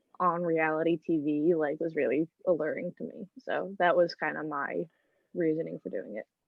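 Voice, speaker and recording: Using a plain, everyday voice, a woman speaks at a fairly low pitch and a moderate pace with ordinary pitch variation. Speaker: college student contestant on a reality game. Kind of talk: casual chat.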